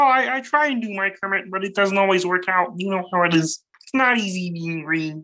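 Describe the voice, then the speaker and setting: A female-sounding voice performs a put-on character at a medium pitch. She talks at a fairly quick pace. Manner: self-deprecating, playful.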